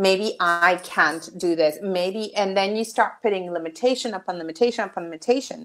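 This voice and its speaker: With a Spanish accent, a woman talks at a moderate pace. She leaves hardly any pauses. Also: ordinary pitch variation, quiet background. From Mexico. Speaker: children's author and meditation coach; guest, meditation coach. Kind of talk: casual interview chat. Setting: video call. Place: home room. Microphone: earbuds.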